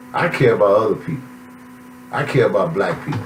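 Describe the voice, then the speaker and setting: Speaking at a fairly quick pace, a man is heard with audible room echo. Noticeable background noise runs underneath. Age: 60s. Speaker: author. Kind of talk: self-promotional monologue. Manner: animated.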